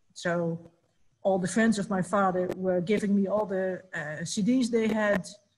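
A somewhat breathy woman with a Dutch accent, fairly even intonation and a fairly slow pace. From Netherlands. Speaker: musicians' union representative; panelist. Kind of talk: online panel discussion. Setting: video call. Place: home room. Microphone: webcam.

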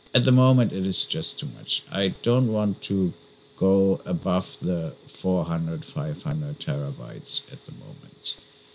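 Very slowly and with a non-native accent, a man speaks in a very deep, low pitch, with very wide pitch swings and big swings in loudness. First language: not English. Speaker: YouTuber documenting crypto mining setup. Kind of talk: casual video vlog. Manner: hesitant, with fillers.

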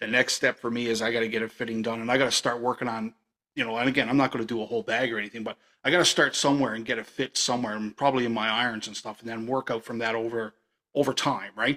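A man talks at a very fast pace in a flat monotone. The background is quiet. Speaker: podcast host. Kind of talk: casual interview chat. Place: home room. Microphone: studio mic.

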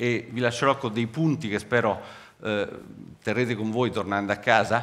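This man's voice sits at a medium pitch with ordinary pitch variation. His tone is bright and sharp. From Rome, Italy; Italy. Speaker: cancer researcher; scientist giving public lecture. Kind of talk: public science lecture. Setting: theatre stage with audience. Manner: animated. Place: stage. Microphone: headset.

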